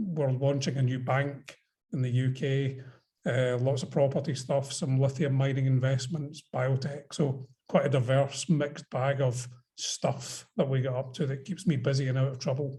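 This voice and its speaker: In a Scottish accent, a man with a medium pitch talks at a moderate pace, his intonation fairly even and his tone dark, mellow and somewhat breathy. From Scotland. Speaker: investor. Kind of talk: panel discussion on video call. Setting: video call.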